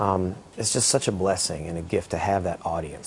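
At a moderate pace, a man is speaking. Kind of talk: interview answer. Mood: upbeat, reflective. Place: studio.

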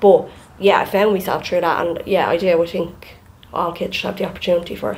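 A woman's fairly low, monotone, flat delivery at a fairly quick pace. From Ireland. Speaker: podcast co-host. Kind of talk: casual chat. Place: home room. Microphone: studio mic.

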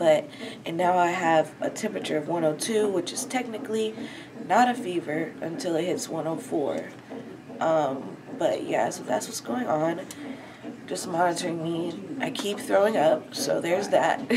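Her voice fairly low, shaky and tired in tone, a woman speaks at a moderate pace over noticeable background noise. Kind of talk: casual vlog chat. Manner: weak, shaky, feverish tired voice.

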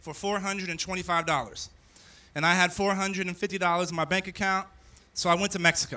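A man speaks in a raised, projected voice. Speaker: speaker. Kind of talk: commencement speech. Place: stage. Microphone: podium.

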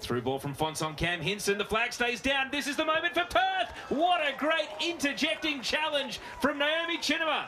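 A man's raised, projected voice with an Australian accent and lively intonation, over noticeable background noise. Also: hardly any pauses. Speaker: football play-by-play commentator. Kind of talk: live play-by-play football match commentary. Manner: rapid-fire breathless narration, rising with excitement at chances; punchy clipped calls of player names and passes.

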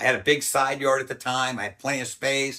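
This man's voice has a bright, sharp tone over a quiet background. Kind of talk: interview answer. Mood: animated, indignant, some laughs. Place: home room. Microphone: lapel.

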